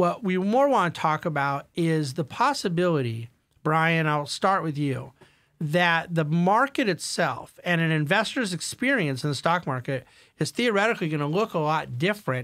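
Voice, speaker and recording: The background stays quiet. A man speaks at a moderate speed. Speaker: podcast host. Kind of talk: investment panel discussion. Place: studio. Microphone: studio mic.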